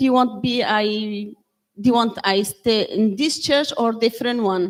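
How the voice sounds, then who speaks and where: A woman with a Kurdish accent, her pitch fairly high and ordinarily varied. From Syria, Kurdish. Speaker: church member giving testimony. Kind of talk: testimony. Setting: church with congregation. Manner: halting.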